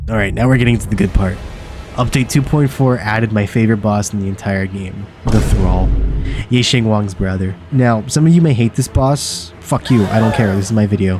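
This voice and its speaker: Music in the background behind a man's fairly low-pitched voice. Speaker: gaming youtuber. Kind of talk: scripted commentary. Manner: casual, stumbling repetitions; flat in early segments, livelier later.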